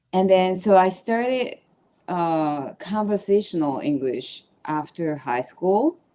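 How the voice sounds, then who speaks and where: Speaking at a very slow pace in a Japanese accent, a woman uses a medium pitch, lively intonation and a dark, mellow tone. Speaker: podcast host. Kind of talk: casual conversation.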